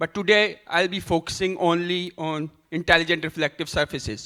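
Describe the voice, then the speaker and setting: The voice is loud and bright with a sharp tone, using fairly even intonation at a moderate pace on a very clean recording with a silent background. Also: man. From Pakistan. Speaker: professor giving a keynote talk. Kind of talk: conference keynote lecture.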